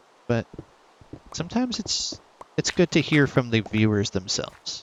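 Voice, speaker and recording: Noticeable background noise sits behind a man's voice. His tone is soothing and relaxed, and his intonation is lively. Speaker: gaming YouTuber. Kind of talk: casual commentary. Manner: soothing, relaxed.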